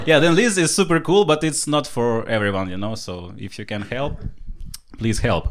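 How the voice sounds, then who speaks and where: He speaks with a Ukrainian accent. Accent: non-native English, Ukrainian. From Ukraine. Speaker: stand-up comedian. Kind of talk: stand-up comedy set.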